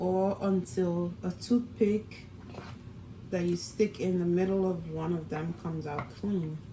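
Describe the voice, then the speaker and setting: A woman's fairly low voice at a fairly slow pace, with ordinary pitch variation and noticeable background noise. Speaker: cooking vlogger, mom. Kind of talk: cooking tutorial. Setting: home kitchen. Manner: whispering, soft-spoken; casual, chatty.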